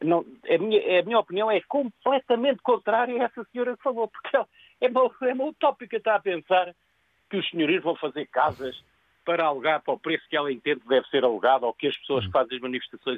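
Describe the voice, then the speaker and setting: Talking at a very fast pace, a man with a high voice swings his pitch very widely. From Lisbon, Portugal. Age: 70s. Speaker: caller, landlord. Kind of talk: opinionated phone-in comment. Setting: phone call.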